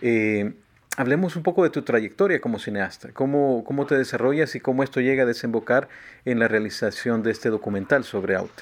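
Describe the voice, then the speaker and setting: This man has a Salvadoran accent and speaks at a fairly quick pace, with a medium pitch and ordinary pitch variation. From El Salvador. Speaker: radio host and singer-songwriter. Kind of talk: radio interview.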